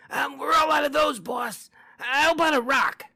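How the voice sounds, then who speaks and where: This raspy, high-pitched put-on character voice moves along at a moderate pace. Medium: read story. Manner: fawning, eager.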